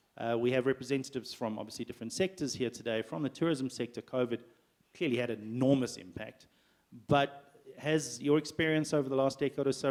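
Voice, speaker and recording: A man talks at a very fast pace with big swings in loudness. His pitch is medium, with ordinary variation. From South Africa. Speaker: panel moderator. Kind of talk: panel moderation. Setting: business breakfast with audience.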